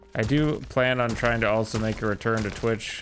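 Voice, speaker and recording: A man with fairly low pitch speaks at a moderate pace and fairly even intonation over noticeable background noise. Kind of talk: casual live-stream chat. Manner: monotone; calm.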